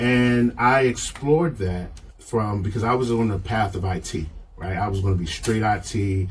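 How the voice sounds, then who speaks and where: Heard through noticeable background noise and audible room echo, a man with an American accent speaks at a moderate pace in a fairly low pitch with ordinary pitch variation. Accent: Baltimore accent, comes out occasionally. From Baltimore, US. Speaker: leadership framework creator. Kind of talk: podcast interview. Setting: studio.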